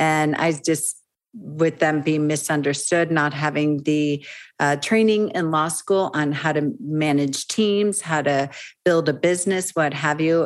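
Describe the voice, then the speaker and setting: On a very clean recording with a silent background, a woman with a very deep, low pitch talks at a moderate pace. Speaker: legal business consultant. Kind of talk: interview.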